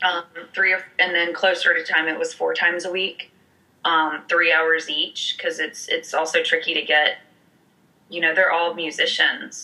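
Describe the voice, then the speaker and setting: A woman with an American accent at a moderate pace, broken by long, frequent pauses. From US South, Alabama (Montgomery). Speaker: musical theatre actress. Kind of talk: casual interview chat.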